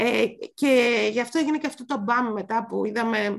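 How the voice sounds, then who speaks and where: Vocal fry runs through this woman's fairly high voice. She speaks at a fairly slow pace with ordinary pitch variation. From Greece, Mani. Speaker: podcast host. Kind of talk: casual chat.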